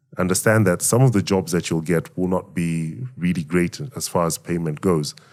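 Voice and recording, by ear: A man with a low pitch and a slightly mellow tone speaks with fairly even intonation. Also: moderate pace.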